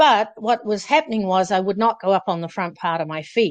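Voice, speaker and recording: In a New Zealand accent, a woman speaks at a fairly slow pace and a medium pitch with ordinary pitch variation against a quiet background. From New Zealand, Auckland. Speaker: former professional distance runner. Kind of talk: interview storytelling.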